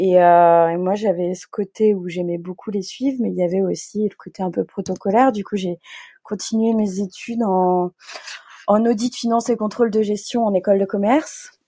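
At a moderate pace, the dark, mellow voice keeps fairly even intonation in a dry, close sound with no echo. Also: woman, medium pitch for a woman. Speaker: record label founder. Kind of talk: interview. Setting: remote recording.

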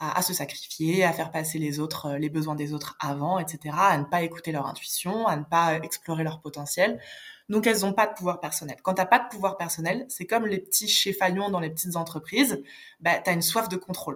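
Her pitch fairly low for a woman and varying in an ordinary way, she talks at a fairly quick clip. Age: 30s. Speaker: life coach. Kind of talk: podcast interview. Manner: halting.

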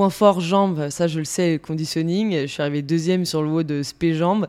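A woman with a normal speaking voice talks at a fairly low pitch, her intonation fairly even. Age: 30s. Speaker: fitness coach. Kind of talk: casual interview.

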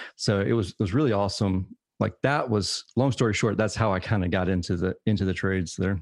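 Against a quiet background, a man talks in a normal speaking voice, fairly low in pitch with ordinary pitch variation, at a fairly quick pace with hardly any pauses. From US South, Savannah, Georgia. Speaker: HVAC business owner and podcaster. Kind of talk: interview.

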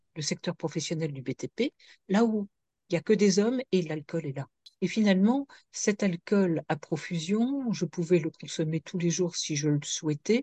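Dark, mellow tone at a fairly slow pace, somewhat breathy, with lively intonation and a dry, close sound with no echo over a quiet background. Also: woman, fairly low pitch for a woman. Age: 60s. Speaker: addiction consultant and author. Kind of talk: interview testimony.

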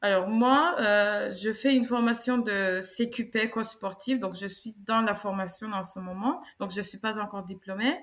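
The speech moves at a fairly slow pace with hardly any pauses. Its pitch variation is ordinary. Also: woman, fairly high pitch for a woman. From Turkey, Istanbul. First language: Turkish (speaking French). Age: 30s. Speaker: sports coach. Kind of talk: testimony and advice interview.

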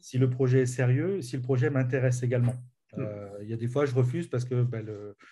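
Against audible room echo, a man talks at a fairly quick pace in a somewhat breathy voice with a dark, mellow tone and fairly even intonation. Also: medium pitch for a man. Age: 40s. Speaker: business coach. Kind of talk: interview. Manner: halting.

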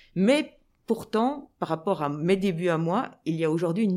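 With lively intonation, a woman talks in an unremarkable speaking voice pitched fairly low. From Belgium, Brussels (Anderlecht). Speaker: sports journalist and TV presenter. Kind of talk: interview.

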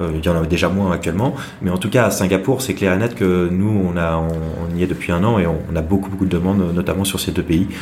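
With audible room echo and noticeable background noise, a man with a very deep, low pitch talks at a very fast pace and fairly even intonation. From Brittany, France (Saint-Malo). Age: 30s. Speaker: entrepreneur, digital agency founder. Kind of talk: interview. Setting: office. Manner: hesitant, many fillers and repetitions.

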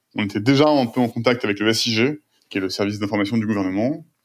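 The recording is very clean, with a silent background. A man speaks at a fairly quick pace with fairly even intonation. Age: 30s. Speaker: tech entrepreneur. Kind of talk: interview. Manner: hesitant, many fillers and repetitions.

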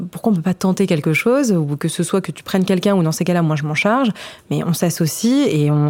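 Lively intonation and a dark, mellow tone carry speech at a fairly quick pace. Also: woman. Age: 20s. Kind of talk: podcast testimony. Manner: hesitant, many fillers.

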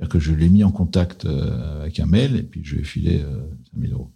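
A man with a very deep, low voice and a dark, mellow tone speaks with lively intonation and vocal fry. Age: 60s. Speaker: private equity investor. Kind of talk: testimony interview.

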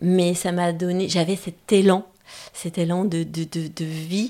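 At a very slow pace, the words come with fairly even intonation. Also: woman. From France, Auvergne. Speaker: pilot and speaker. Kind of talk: interview. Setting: her home.

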